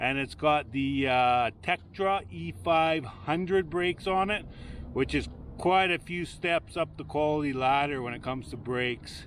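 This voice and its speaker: A man at a fairly slow pace, lively intonation, dry sound with no echo, and light background noise. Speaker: bike reviewer. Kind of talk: product walkthrough commentary. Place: garden. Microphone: phone near.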